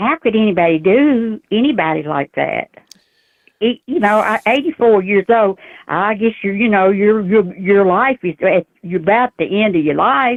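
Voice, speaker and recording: A woman with a Southern US accent talks at a moderate pace and medium pitch with lively intonation. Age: 80s+. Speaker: caller. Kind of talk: casual chat.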